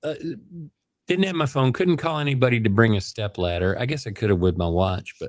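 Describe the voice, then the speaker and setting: In an American accent, a man talks at a moderate pace with very wide pitch swings, and the recording is very clean with a silent background. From Chicago area, Illinois. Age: 60s. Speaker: vlogger. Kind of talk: casual chat. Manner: halting, many restarts.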